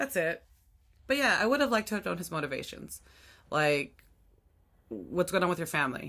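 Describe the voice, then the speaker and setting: A woman with a fairly low pitch and vocal fry speaks at a fairly quick pace with very wide pitch swings, broken by long, frequent pauses. The recording is very clean, with a silent background. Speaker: podcast host. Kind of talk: casual chat about anime.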